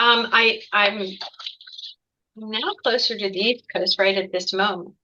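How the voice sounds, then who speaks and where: Speaking with an American accent, a woman uses a bright, sharp tone, medium pitch and monotone, flat intonation at a fairly slow pace. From Ohio, US Midwest. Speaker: executive coach. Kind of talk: interview.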